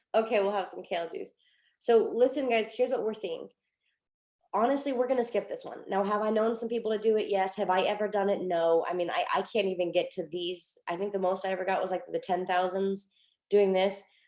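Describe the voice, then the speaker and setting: The voice is quiet, with a fairly quick pace. Pitch variation is ordinary. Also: woman, medium pitch for a woman. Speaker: trading coach. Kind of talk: online group hangout, trading tutorial. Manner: quiet, hard to hear; casual, filler-heavy.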